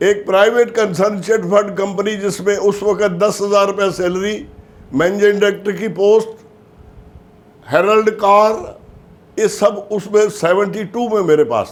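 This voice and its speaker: This man's high voice carries fairly even intonation. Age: 80s+. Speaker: life insurance agent. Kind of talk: motivational talk.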